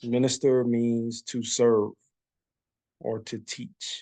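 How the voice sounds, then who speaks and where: With a dark, mellow tone at medium pitch, a man speaks in a monotone, flat intonation, the sound dry and close with no echo. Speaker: bible teacher. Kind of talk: bible study teaching. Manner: casual, conversational.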